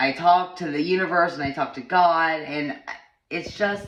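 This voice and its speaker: A woman talks at a fairly low pitch. Audible room echo surrounds her voice. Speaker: vlogger sharing personal wellness journey. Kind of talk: casual personal vlog monologue. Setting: home bathroom. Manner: halting, many false starts.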